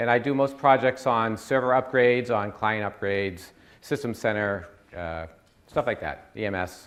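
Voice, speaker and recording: A man at a moderate pace, medium in pitch, his pitch varying in an ordinary way. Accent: Boston. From US Northeast, Boston area. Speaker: IT consultant. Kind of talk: conference presentation. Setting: stage with audience.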